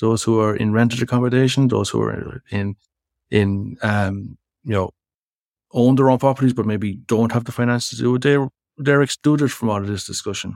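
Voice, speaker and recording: A man with an Irish Midlands accent talks at a moderate pace in a medium pitch, with fairly even intonation. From Irish Midlands, County Laois. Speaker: academic researcher in sustainability. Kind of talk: interview conversation.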